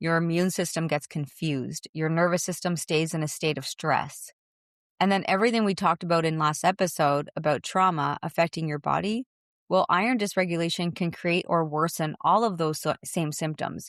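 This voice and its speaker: With a plain, everyday voice, a woman speaks at a moderate pace in a fairly low pitch with ordinary pitch variation, recorded dry and close with no echo in a very clean recording with a silent background. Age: 40s. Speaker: fitness podcast host. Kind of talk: personal testimony podcast.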